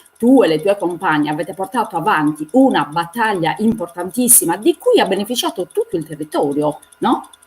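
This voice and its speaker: Over music in the background, the speaker moves at a fairly quick pace with lively intonation. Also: woman, medium pitch for a woman. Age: 60s. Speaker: feminist activist. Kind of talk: panel discussion. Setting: live stream.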